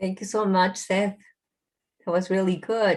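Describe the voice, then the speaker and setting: A woman speaks in a Spanish accent. Her pitch sits in the medium range. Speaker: meeting chair. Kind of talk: casual chat. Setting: video call. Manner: halting.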